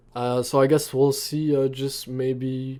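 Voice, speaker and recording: Speaking with a non-native accent, a man talks fairly slowly at a medium pitch in a monotone, flat intonation. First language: not English. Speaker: anime reaction YouTuber. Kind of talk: casual reaction commentary, reading manga aloud. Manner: hesitant, many fillers.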